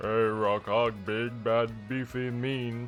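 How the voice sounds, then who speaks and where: This man puts on a gruff character voice at a medium pitch, flat and monotone in intonation. He talks at a fairly slow pace over clear background music. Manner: dumb, gruff, mocking.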